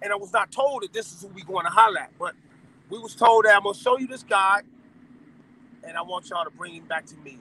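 A man's raised, projected voice, high-pitched with very wide pitch swings, at a fairly quick pace, in a dry sound with no echo. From Los Angeles, Watts; Los Angeles. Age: 50s. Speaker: former gang member; interview guest. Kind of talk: interview. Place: car. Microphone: phone near.

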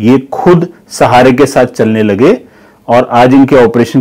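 In a quiet background, a man speaks with ordinary pitch variation. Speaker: neurosurgeon. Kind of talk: doctor explaining a case. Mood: calm, explanatory. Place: office. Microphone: lapel.

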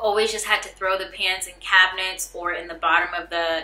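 Faint music plays behind a woman speaking at a fairly quick pace. Room echo is audible. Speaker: vlogger. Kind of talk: casual vlog chat. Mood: excited, upbeat. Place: home room.

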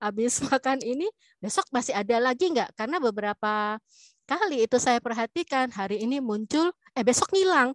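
A woman's high voice with lively intonation at a fairly quick pace, dry with no echo over a quiet background. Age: older, self-described older generation. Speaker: webinar participant, academic. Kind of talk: Q&A comment. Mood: light, joking. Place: home room. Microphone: video call.

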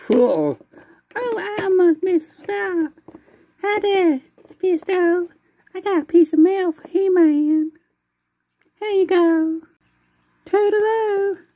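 This put-on character voice is squeaky and extremely high, moving at a fairly slow pace. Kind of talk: character voice acting. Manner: cheerful, breezy. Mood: playful, comedic.

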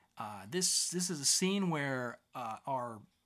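A man talks slowly with lively intonation and a bright, sharp tone.

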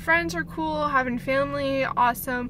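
Her pitch high, a woman talks at a fairly slow pace, with light background noise and a dry sound with no echo. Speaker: vlogger. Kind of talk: casual vlog chat. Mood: reflective, a bit scattered. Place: car. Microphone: phone near.

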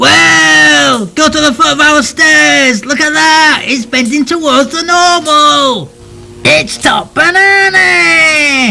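Shouting at a very slow pace in a cartoonish character voice, a man is heard over clear music in the background. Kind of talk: comic puppet sketch. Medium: puppet show. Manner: brash, excitable, rude.

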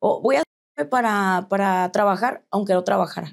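A woman speaks in a Mexican accent over a quiet background. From Mexico. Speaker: tattoo artist; interview guest. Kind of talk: interview testimony. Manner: halting. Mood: reflective, candid personal story. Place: studio.

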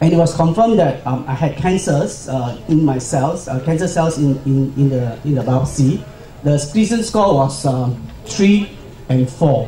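A man speaks with ordinary pitch variation. There is light background noise and audible room echo. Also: moderate pace. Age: 50s. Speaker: cancer survivor and pharmaceutical employee. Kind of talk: conference talk. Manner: halting. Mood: calm, personal story. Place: hall.

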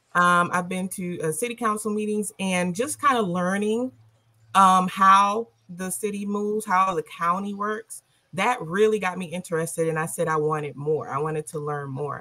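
A woman with an American accent talks at a moderate pace, her tone bright and sharp, with ordinary pitch variation. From South Carolina, Orangeburg; South Carolina. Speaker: local party official; guest. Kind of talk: panel discussion. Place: home room. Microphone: video call.

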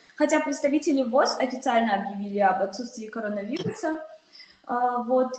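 With noticeable background noise and audible room echo, a woman speaks at a high pitch. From Tajikistan. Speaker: panelist. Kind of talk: panel discussion. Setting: video call. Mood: calm, concerned. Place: office. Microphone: video call.

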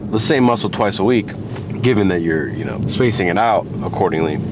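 A man speaks in a dry recording with no echo, with noticeable background noise. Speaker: fitness vlogger. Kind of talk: casual vlog chat. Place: car. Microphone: phone near.

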